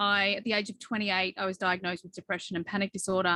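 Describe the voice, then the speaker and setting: A woman with an Australian accent, her tone bright and sharp, in a dry, close sound with no echo. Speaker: behavioral coach. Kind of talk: podcast interview.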